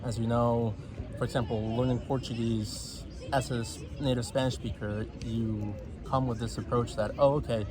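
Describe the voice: Against clear background noise, a man speaks at a medium pitch with little pitch movement.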